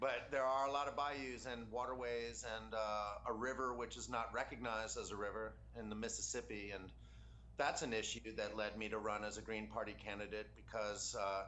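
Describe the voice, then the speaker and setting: There is noticeable background noise and audible room echo as a man with an American accent speaks at a fairly quick pace. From Louisiana, New Orleans. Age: 30s. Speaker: congressional candidate. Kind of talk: interview.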